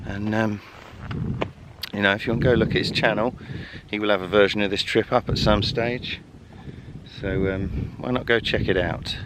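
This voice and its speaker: A man's fairly low voice in an English accent at a moderate pace, broken by long, frequent pauses, with noticeable background noise. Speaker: bushcraft vlogger. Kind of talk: outdoor vlog. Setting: outdoors. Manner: quiet.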